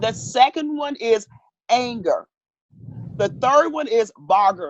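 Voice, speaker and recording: A woman's fairly high voice with vocal fry and very wide pitch swings, at a very slow pace with long, frequent pauses. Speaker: counselor. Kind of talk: interview.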